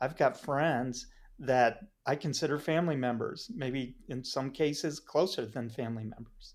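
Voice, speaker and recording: A man with an unremarkable speaking voice talks at a moderate pace and fairly high pitch, with ordinary pitch variation. The recording is very clean, with a silent background. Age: 60s. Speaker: entrepreneur and business mentor. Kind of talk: casual chat.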